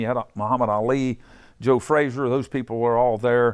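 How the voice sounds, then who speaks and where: A man speaks with an Appalachian accent at a fairly quick pace. His pitch is medium, and the background is quiet. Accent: Appalachian Ohio. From southeastern Ohio. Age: 70s. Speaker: boxing gym owner. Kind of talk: guided tour. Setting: boxing gym. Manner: casual, halting.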